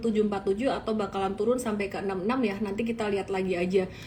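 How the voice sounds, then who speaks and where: A woman with a strong Javanese accent, fairly even intonation, and noticeable background noise. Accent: thick Javanese. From Indonesia, Solo (Central Java). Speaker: stock market analyst. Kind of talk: live-stream market analysis. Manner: casual, conversational.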